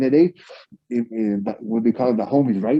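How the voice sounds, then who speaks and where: At a moderate pace, a man with a Spanish accent speaks at medium pitch with ordinary pitch variation. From Mexico, Ciudad Juárez. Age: 40s. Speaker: professional wrestler. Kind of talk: interview. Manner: halting, many repeated words.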